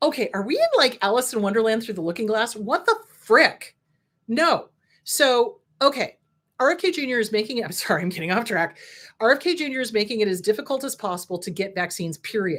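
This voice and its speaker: In an American accent, a woman talks at a fairly quick pace with a fairly high pitch and very wide pitch swings. Her tone is animated, and the recording is very clean with a silent background. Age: 60s. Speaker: licensed counselor and show host. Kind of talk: casual talk, educational monologue.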